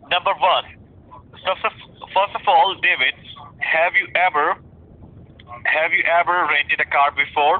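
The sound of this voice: This man speaks at a fairly slow pace in a fairly high pitch, with fairly even intonation.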